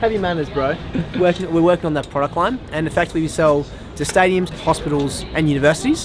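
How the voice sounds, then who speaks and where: With music in the background, a man with an Australian accent talks at a very fast pace, his fairly high pitch showing ordinary variation. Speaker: chef. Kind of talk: casual chat.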